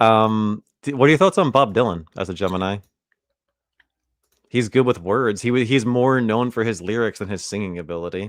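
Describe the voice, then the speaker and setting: A man with a plain, everyday voice speaks with fairly low pitch and ordinary pitch variation at a moderate pace, against a quiet background. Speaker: podcast co-host. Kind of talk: casual chat.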